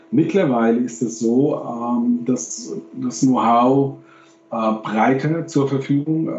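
Noticeable background noise and audible room echo accompany a man whose medium pitch shows ordinary variation. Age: 50s. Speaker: professor and games industry expert. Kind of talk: interview. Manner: halting.

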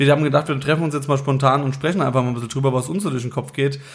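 This is a man with a fairly high pitch who sounds somewhat breathy. His intonation stays fairly even. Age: 30s. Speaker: band musician. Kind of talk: casual chat.

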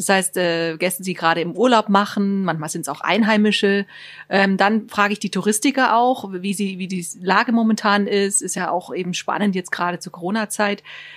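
Recorded very cleanly against a silent background, a woman with an unremarkable speaking voice talks at a fairly quick pace, medium in pitch with ordinary pitch variation. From Baden-Württemberg. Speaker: tourism staff, writes trip tips. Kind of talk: radio interview. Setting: studio.

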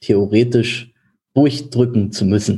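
A man speaks at a fairly slow pace in a dark, mellow, somewhat breathy tone with ordinary pitch variation. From Germany, village. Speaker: insurance broker. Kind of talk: interview. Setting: office.

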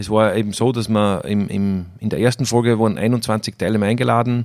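A man with an Austrian accent speaks at a moderate pace and fairly low pitch with fairly even intonation on a very clean recording with a silent background. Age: 30s. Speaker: winemaker. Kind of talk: casual interview. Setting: at the winery.

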